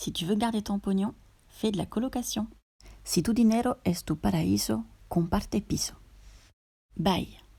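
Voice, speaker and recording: A woman with a French accent at a fairly slow pace, with long, frequent pauses, in a very clean recording with a silent background. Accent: native French. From France. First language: French (speaking Spanish). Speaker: co-host, native speaker. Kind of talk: reading example sentences aloud.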